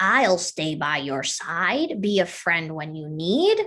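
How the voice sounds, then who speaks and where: Using a put-on character voice, a woman speaks at a fairly slow pace with fairly low pitch. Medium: read story.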